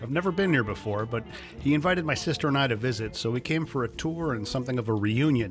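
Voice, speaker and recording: Music plays in the background as a man speaks. His delivery is very fast, with lively intonation. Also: medium pitch for a man. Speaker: video host and home gardener. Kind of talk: documentary voice-over narration.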